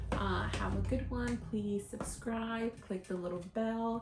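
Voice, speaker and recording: Through noticeable background noise, a woman speaks with fairly even intonation. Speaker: lifestyle vlogger. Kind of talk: casual tutorial to camera. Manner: many fillers like um and uh.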